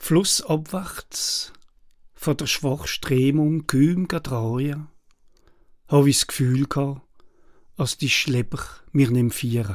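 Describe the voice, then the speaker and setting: A fairly high-pitched, somewhat breathy man with an Alsatian accent, at a very slow pace with long, frequent pauses and ordinary pitch variation, on a very clean recording against a silent background. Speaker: poet and translator. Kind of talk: poetry reading.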